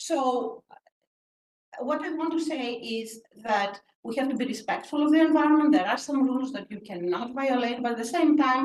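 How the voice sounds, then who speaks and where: A woman with a Greek accent speaks at a moderate pace, her high voice showing ordinary pitch variation. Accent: Greek, noticeable. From Greece. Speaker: professor. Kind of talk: panel discussion.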